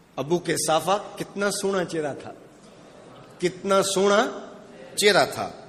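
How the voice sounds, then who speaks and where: There is noticeable background noise behind a man's voice. His pitch is high, with ordinary pitch variation. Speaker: Islamic scholar giving a sermon. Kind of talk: emotional religious sermon (bayan). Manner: emotional, reflective.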